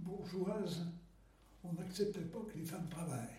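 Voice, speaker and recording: In a room with audible echo, a man speaks at a high pitch in a dark, mellow tone. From Paris, France. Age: 90s. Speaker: war veteran. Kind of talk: testimony. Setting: at home. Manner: halting.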